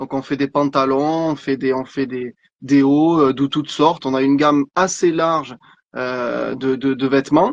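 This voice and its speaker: A man talks at a fairly slow pace in a fairly high pitch with monotone, flat intonation, the sound dry and close with no echo. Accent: slight southern French. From southern France, Vaucluse countryside. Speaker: clothing brand founder, entrepreneur. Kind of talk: interview on live stream. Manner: halting, many repetitions.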